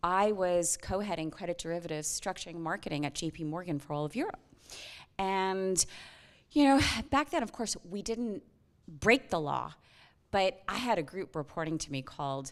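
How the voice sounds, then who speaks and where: An animated woman with an American accent and a fairly low pitch speaks at a moderate pace with lively intonation and long, frequent pauses, on a very clean recording with a silent background. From United States. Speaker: whistleblower, former banker. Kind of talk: panel interview.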